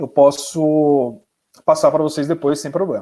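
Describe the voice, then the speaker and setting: This man's pitch is fairly high, with ordinary pitch variation. He talks at a moderate pace. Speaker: psychologist and researcher. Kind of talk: webinar lecture. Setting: online webinar.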